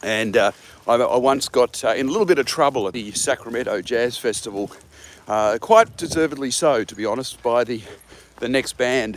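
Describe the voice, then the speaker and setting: Speaking at a moderate pace with an Australian accent, a man uses a medium pitch with ordinary variation. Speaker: jazz musician. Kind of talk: casual chat. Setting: outdoors. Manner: halting.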